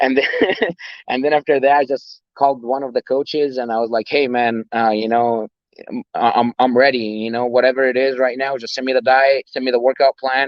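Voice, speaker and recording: Fairly quick, monotone, flat speech with an Arabic accent. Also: man, medium pitch for a man. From Egypt. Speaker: personal trainer and bodybuilder. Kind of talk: interview. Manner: halting, many fillers and repeats.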